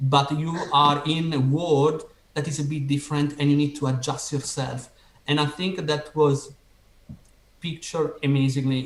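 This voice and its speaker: Somewhat breathy, a man speaks in an Italian accent at a moderate pace. His pitch is fairly high and his intonation fairly even. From Italy. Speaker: podcast host. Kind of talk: interview.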